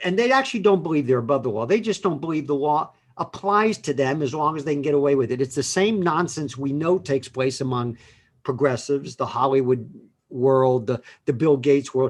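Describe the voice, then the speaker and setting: This is a man with an ordinary speaking voice. His intonation is lively. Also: fairly high pitch for a man, fairly quick pace. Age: 60s. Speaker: lawyer. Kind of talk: casual chat.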